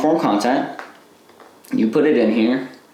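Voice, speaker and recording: Audible room echo and noticeable background noise around a man's medium-pitched, fairly even-toned voice. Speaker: online business coach. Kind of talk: live online class. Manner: casual, filler-heavy.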